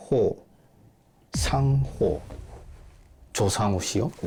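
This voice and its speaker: A man talks with a Japanese accent and vocal fry. His pitch swings very widely. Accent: Japanese-sounding Korean pronunciation. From South Korea. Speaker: private detective. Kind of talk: interview. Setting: detective office.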